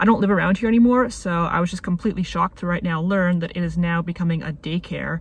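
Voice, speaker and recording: Somewhat breathy speech comes at a very fast pace with fairly even intonation, the sound dry with no echo. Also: woman. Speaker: video essayist vlogger. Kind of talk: casual vlog chat. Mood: nostalgic, wry. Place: car. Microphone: phone near.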